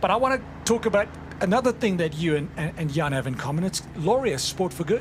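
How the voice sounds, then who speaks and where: Over noticeable background noise, a man with a South African accent talks at a very fast pace, his high pitch making very wide swings. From South Africa, Cape Town. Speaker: sports commentator. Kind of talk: live commentary. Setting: outdoors at race, rain.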